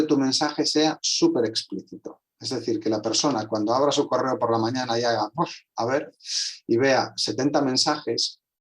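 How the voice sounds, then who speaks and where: The speaker is a man. His voice rises and falls in an ordinary way. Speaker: translator and communication specialist. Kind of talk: online conversation. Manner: fast.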